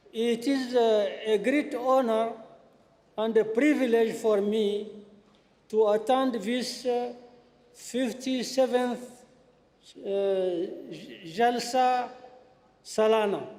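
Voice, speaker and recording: The speech is very slow, with long, frequent pauses. Intonation is fairly even, and room echo can be heard. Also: man, extremely high pitch for a man. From Niger. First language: French. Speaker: visiting foreign politician. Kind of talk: formal address. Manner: halting.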